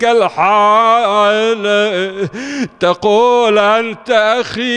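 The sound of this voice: The speaker reads in an unforced voice, keeping the intonation fairly even.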